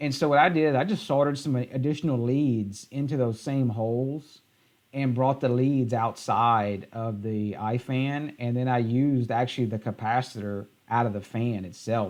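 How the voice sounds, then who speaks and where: The speaker has a Southern US accent. The background is quiet. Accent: southern drawl. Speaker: tech YouTuber. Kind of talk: live stream tutorial. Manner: halting.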